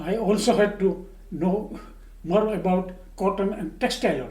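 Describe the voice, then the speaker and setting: A man speaks with fairly even intonation. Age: 80s+. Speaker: retired chemical engineer. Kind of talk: oral history interview answer. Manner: slow, hesitant.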